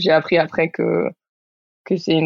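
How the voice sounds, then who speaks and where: Monotone, flat intonation marks a woman talking at a fairly low pitch. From Spain, Barcelona. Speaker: rock climber. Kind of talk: casual chat.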